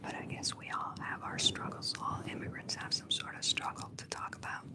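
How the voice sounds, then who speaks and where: Someone is whispering at a fairly quick pace. There is noticeable background noise. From Cuba. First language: Spanish. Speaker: livestreamer. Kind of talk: casual chat.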